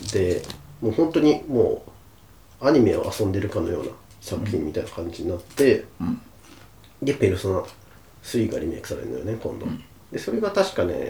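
Delivered at a fairly quick pace, a man's speech is broken by long, frequent pauses. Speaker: podcast co-host, office worker. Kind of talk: casual chat.

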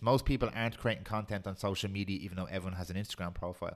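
Talking at a very fast pace with a Dublin accent and ordinary pitch variation, the speaker is heard on a very clean recording with a silent background. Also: man. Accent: Dublin Irish. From Ireland, Swords (north Dublin). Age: 30s. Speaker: podcast producer. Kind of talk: casual chat.

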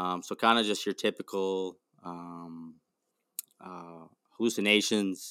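A man's very deep, low voice with an Upper Midwest accent, flat and monotone, dry and close with no echo, on a very clean recording with a silent background. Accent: Upper Midwest American. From Wisconsin, US Midwest. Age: 20s. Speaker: factory worker and mental health advocate. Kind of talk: casual interview. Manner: halting, many fillers.

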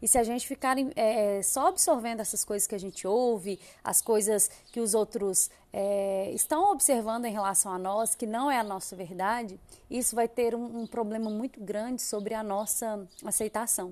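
A woman's dark, mellow voice, fairly high in pitch, at a moderate pace with ordinary pitch variation, over a quiet background. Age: 30s. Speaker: podcast host. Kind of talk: solo podcast monologue. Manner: animated.

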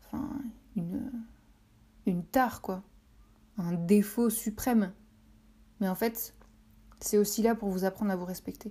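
Somewhat breathy and dark, mellow in tone, a woman speaks at a medium pitch and fairly slow pace with ordinary pitch variation and long, frequent pauses. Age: 30s. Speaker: podcaster. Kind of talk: solo podcast monologue. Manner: hesitant, many filler words.

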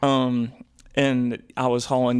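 The man here speaks at a medium pitch. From Memphis, Tennessee. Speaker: musician and songwriter. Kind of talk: casual interview chat.

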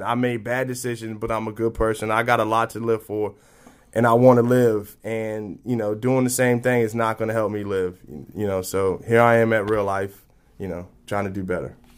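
A man at a medium pitch with an American accent, fairly even intonation and a moderate pace. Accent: people say he speaks proper. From military family, raised around the US and abroad. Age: 30s. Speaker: recently released inmate in recovery. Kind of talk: personal testimony interview. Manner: halting, repeats words.

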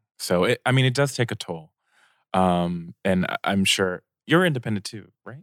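An ordinary speaking voice from a man, fairly low in pitch, moderate pace, lively intonation and big swings in loudness, on a very clean recording with a silent background. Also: dry, close sound with no echo. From United States, Korean-American family. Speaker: singer and music producer. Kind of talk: casual chat. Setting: studio.

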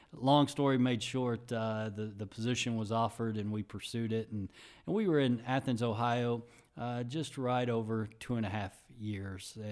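A plain, everyday voice with an American accent, speaking at a moderate pace with fairly even intonation. The recording is very clean, with a silent background. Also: man, medium pitch for a man. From Texas (Dallas area, Sherman). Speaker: university athletic director. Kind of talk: interview.

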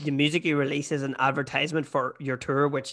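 A man with a Northern Irish accent and a fairly high pitch speaks very fast in a bright, sharp tone with monotone, flat intonation. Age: 30s. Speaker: podcast host. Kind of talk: casual chat. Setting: remote call.

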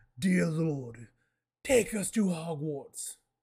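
A put-on character voice at a middle pitch comes through on a very clean recording with a silent background. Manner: crying out, dramatic.

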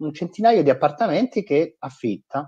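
A man's normal speaking voice with lively intonation over a quiet background. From Italy. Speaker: nonprofit digital and fundraising executive. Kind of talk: interview.

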